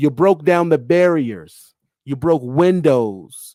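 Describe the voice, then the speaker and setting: A man speaks with lively intonation in a dry, close sound with no echo. The recording is very clean, with a silent background. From Pennsylvania, US. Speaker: livestream host. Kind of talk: live stream talk. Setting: live audio stream.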